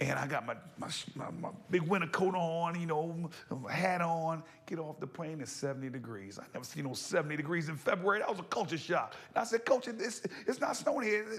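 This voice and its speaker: An animated man with a New Jersey accent, high in pitch, fairly quick, with lively intonation and noticeable background noise. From New Jersey (Passaic). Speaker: former college football quarterback and entertainer. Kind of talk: interview. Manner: fast.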